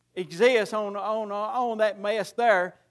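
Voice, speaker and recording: On a very clean recording with a silent background, a man with a Tennessee accent talks at a high pitch with fairly even intonation. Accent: Southern US (Tennessee). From US South, Middle Tennessee. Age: 50s. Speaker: preacher. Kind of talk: sermon.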